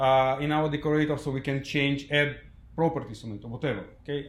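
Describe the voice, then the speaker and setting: A man with a non-native accent talks at a moderate pace and a fairly high pitch. His voice is somewhat breathy, and room echo is audible. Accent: foreign, non-native English. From Ukraine. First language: Russian. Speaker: software developer, conference speaker. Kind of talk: tech conference talk. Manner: halting, many fillers.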